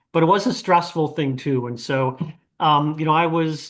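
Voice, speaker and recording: Against a quiet background, a man with a fairly high pitch talks at a moderate pace in a plain, everyday voice. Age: 60s. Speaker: retired physician. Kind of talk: panel interview. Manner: conversational, with filler words.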